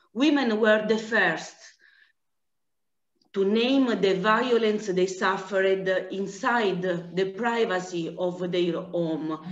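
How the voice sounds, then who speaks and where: A woman speaks at a fairly slow pace with an Italian accent, her medium pitch showing ordinary variation against audible room echo. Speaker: anti-trafficking director. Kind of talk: conference presentation. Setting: video call. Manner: halting.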